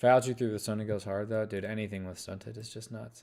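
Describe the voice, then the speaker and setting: Mumbled, very fast speech from a man with a fairly low voice and a dark, mellow tone. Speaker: gaming streamer. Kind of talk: live gameplay commentary. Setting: live stream. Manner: mumbling.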